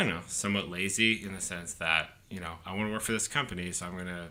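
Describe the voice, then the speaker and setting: A man with a very deep, low voice and a bright, sharp tone talks at a fairly quick pace. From Canada, Halifax, Nova Scotia. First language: French. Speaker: PR and sports agency entrepreneur. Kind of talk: casual chat.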